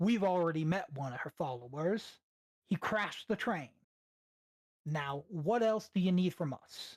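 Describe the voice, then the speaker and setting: Booming and loud, this put-on character voice sits at a middle pitch. It goes at a moderate pace. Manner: stern, demanding.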